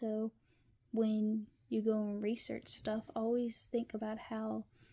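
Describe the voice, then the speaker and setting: A woman speaks in a fairly high, somewhat breathy voice at a fairly slow pace. Her intonation stays monotone and flat. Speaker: education student teaching a lesson. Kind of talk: educational video lesson. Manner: hesitant with fillers.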